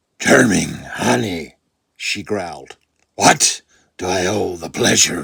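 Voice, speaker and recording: In a put-on character voice, a man speaks at a fairly slow pace with a very deep, low pitch, a gravelly and raspy sound, lively intonation and long, frequent pauses. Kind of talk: noir detective story reading.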